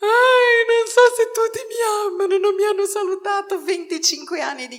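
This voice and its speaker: This put-on character voice is whiny and sits at an extremely high pitch. The pace is fairly slow. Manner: whining, self-pitying.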